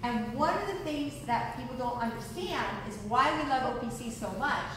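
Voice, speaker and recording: A woman's high-pitched voice moves fairly slowly through strong room echo and light background noise. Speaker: presenter. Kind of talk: lecture. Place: hall. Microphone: camera far.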